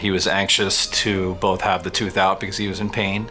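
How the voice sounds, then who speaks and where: Over music in the background, a man with a very deep, low pitch speaks in a monotone, flat way at a fairly quick pace. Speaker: oral surgeon. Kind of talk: interview answer.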